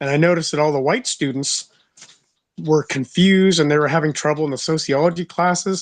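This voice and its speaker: A man with a plain, everyday voice, fairly high-pitched, fairly quick and fairly even in intonation, over a quiet background. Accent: American. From United States. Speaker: podcast co-host. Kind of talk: casual chat.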